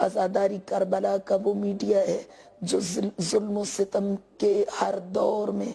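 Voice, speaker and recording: A woman talks at a very slow pace. Noticeable background noise sits behind her. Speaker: religious speaker. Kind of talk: formal religious speech. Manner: formal.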